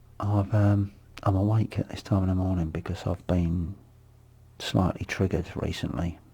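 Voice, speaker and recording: The voice has a dark, mellow tone and is somewhat breathy. It moves at a moderate pace with fairly even intonation. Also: man, very deep, low pitch for a man. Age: 50s. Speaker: vlogger, abuse survivor. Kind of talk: personal monologue vlog. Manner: halting.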